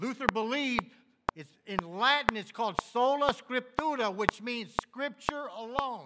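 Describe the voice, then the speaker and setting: A man's extremely high, raised and projected voice at a fairly slow pace, with ordinary pitch variation and big swings in loudness. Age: 60s. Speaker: pastor. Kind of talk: sermon.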